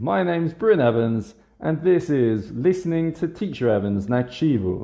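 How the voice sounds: Using lively intonation in a dark, mellow tone, a man speaks at a fairly slow pace.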